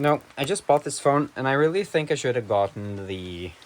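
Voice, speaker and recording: Speaking at a fairly quick pace with a Norwegian accent, a man's pitch swings very widely. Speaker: vlogger. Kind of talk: casual vlog monologue. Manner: halting.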